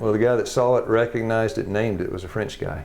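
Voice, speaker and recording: Talking at a very fast pace, a man speaks in a Tennessee accent. The room echoes audibly, and background noise is noticeable. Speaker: health education teacher. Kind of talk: classroom lecture. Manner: animated.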